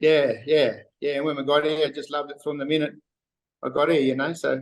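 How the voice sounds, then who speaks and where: With a strong Australian accent, a man speaks at a fairly quick pace in a fairly high, monotone voice with flat intonation. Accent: broad Australian. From Western Queensland, Australia. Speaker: wharf worker. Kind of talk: casual interview chat. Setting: video call. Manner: halting, many fillers.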